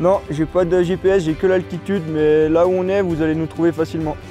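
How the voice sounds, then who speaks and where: With music in the background, a man speaks at a fairly quick pace in a fairly high pitch, showing ordinary pitch variation. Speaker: mountain guide. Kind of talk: staged radio distress call. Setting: radio transmission.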